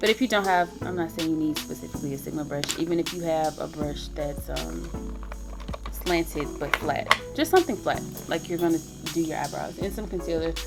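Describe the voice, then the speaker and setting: Music runs in the background. Over it, a woman speaks at a fairly quick pace. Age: 20s. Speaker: beauty vlogger. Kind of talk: tutorial. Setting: home. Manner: casual, with filler words.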